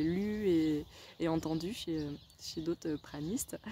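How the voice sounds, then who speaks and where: This woman's voice has a dark, mellow tone. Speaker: wellness vlogger. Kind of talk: video diary. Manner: animated.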